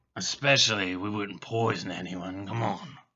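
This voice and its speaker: Putting on a raspy character voice, a man speaks at a moderate pace with a fairly low pitch. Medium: actual play. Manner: folksy, drawling.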